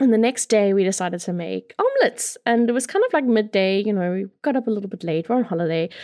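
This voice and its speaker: The tone is dark and mellow with ordinary pitch variation. Words come very fast with hardly any pauses. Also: woman, fairly high pitch for a woman. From Mozambique. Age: 20s. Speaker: podcast host. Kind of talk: casual monologue.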